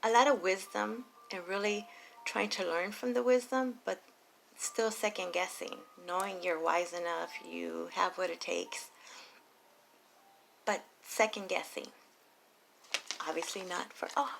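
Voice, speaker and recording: Quiet and at a fairly slow pace, a woman speaks at medium pitch with ordinary variation. She leaves long, frequent pauses. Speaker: tarot reader. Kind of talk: tarot reading monologue. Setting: recording late at night at home. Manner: quiet, keeping voice down.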